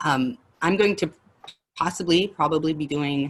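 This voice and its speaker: This woman's voice sits at a very deep, low pitch and carries lively intonation. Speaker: facilitator of personal development class. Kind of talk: online group class talk. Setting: video call. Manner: fast.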